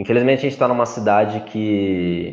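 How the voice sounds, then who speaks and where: A man with a plain, everyday voice talks at a moderate pace. His pitch is fairly low and his intonation fairly even. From Brazil, São Roque (São Paulo state). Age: 20s. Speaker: economics student and entrepreneur. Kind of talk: interview.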